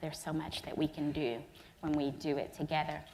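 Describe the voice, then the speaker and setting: A woman with a Southern US accent, a very deep, low pitch and vocal fry. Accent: Southern US, slow. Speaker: energy regulator. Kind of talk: keynote remarks.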